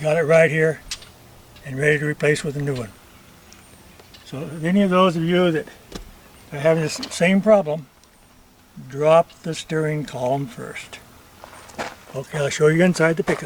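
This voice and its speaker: A fairly high-pitched man speaks at a moderate pace with ordinary pitch variation and long, frequent pauses, over noticeable background noise. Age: 80s+. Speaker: retired auto mechanic. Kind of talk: DIY repair tutorial to camera.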